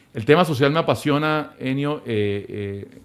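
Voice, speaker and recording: This man's voice shows ordinary pitch variation. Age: 60s. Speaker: business leader and philanthropist. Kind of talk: interview conversation. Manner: hesitant, many fillers and repetitions.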